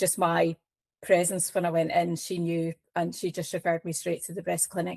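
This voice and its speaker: A woman with a Scottish accent speaks in a flat monotone at a fairly low pitch, recorded very cleanly against a silent background with a dry, close sound and no echo. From Scotland. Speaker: cancer patient advocate. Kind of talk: interview. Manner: hesitant, many fillers.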